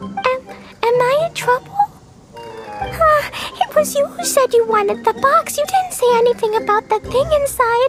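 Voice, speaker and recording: With faint music in the background, a put-on character voice at an extremely high pitch moves at a moderate pace. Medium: machinima. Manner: offhand, evasive.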